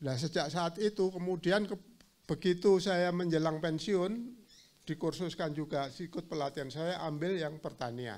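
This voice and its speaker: With a high pitch, a man speaks with ordinary pitch variation. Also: moderate pace. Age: 60s. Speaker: agriculture training participant, retired accountant. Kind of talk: self-introduction in a group. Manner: halting.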